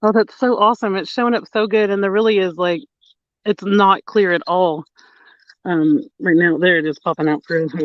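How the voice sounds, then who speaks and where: A man's voice sits high in pitch, with lively intonation. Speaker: fishing livestream co-host. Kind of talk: casual live stream chat. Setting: outdoors at a lake at night. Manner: fast.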